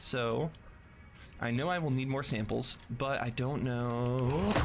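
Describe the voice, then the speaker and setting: There's audible room echo around a man's medium-pitched voice, which shows ordinary pitch variation. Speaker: video game speedrunner. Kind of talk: gameplay commentary. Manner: casual, chatty.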